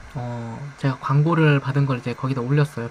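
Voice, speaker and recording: Against noticeable background noise, a soft-spoken man with a fairly high pitch talks at a fairly slow pace in fairly even intonation. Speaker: streamer. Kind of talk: live stream chat. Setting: live stream.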